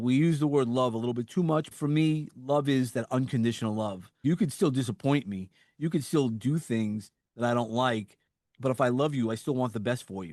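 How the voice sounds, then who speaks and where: A man talks fairly quickly with a slight New York accent. His pitch is medium, with ordinary variation. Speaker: suicide survivor and motivational speaker. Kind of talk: interview conversation. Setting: podcast interview.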